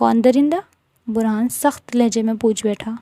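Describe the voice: Over a quiet background, the voice does a plain reading aloud.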